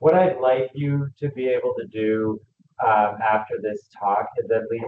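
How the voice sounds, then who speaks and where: Talking at a moderate speed, a man's pitch varies in an ordinary way. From Canada, Greater Toronto Area. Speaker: physician lecturer. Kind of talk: lecture. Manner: loud; casual, filler-heavy.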